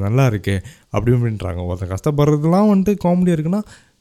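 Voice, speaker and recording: Swinging very widely in pitch, a man talks in a dark, mellow tone. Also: very clean recording, silent background. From Malaysia. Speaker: podcast host and director. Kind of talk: casual monologue. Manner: animated.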